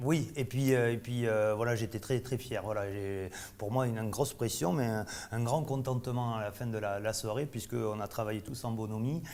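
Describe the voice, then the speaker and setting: A man's medium-pitched voice in a Bordeaux accent, moderate pace and fairly even intonation. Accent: Bordeaux accent, kept. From Bordeaux, southwest France. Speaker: chef. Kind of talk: casual interview during tasting. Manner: halting, many fillers.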